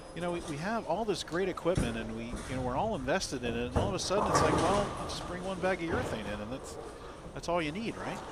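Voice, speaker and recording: Over music in the background, a high-pitched man talks at a very fast pace with lively intonation. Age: 60s. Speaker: bowling commentator. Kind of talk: live commentary. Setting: broadcast booth at bowling alley.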